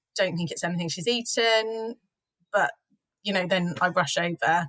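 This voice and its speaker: The woman's medium-pitched voice has a bright, sharp tone and fairly even intonation. The sound is dry and close with no echo, in a very clean recording with a silent background. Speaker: business co-founder. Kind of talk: casual chat.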